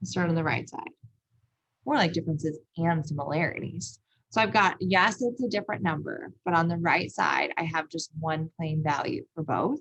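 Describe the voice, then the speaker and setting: A woman talks in a normal speaking voice at a moderate pace, fairly low in pitch, with ordinary pitch variation. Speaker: math teacher. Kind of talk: lecture.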